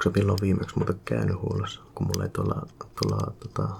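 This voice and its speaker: Soft-spoken and with a calm tone, a man talks at a moderate pace over noticeable background noise. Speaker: ASMR creator. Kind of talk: ASMR roleplay, maintenance technician. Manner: soft-spoken, calm.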